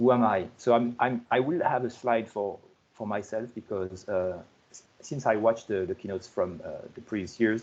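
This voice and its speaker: With a French accent, a man talks at medium pitch and a moderate pace, with ordinary pitch variation. His loudness swings a lot. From France. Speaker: software project lead giving conference keynote. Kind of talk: conference keynote presentation. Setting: online conference video call. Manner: halting, many repetitions and fillers.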